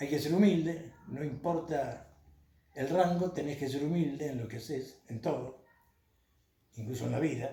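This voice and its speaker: Fairly high in pitch, this man speaks at a fairly slow pace with ordinary pitch variation. There is audible room echo. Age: 70s. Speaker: former city councillor. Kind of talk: interview. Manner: hesitant, frequent fillers.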